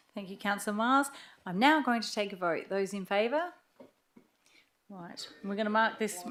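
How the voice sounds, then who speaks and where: With an Australian accent, a woman talks at a moderate pace and medium pitch, with ordinary pitch variation and long, frequent pauses. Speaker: mayor chairing meeting. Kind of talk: meeting chairing.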